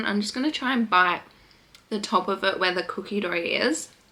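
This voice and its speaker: Over noticeable background noise, a woman with an Australian accent talks at a fairly quick pace, with a medium pitch and ordinary pitch variation. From Western Australia. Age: 20s. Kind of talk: casual talk to camera.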